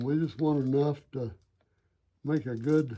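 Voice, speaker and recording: A man talks very slowly in a fairly high voice with a dark, mellow tone. His pitch varies in an ordinary way. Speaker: woodworking craftsman. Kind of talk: tutorial. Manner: halting.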